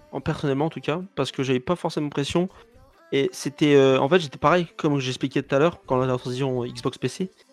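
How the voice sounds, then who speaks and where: Over music in the background, a man with a fairly high pitch talks at a fairly quick pace with fairly even intonation in a dry, close sound with no echo. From France, Paris. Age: 20s. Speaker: esports player. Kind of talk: podcast interview.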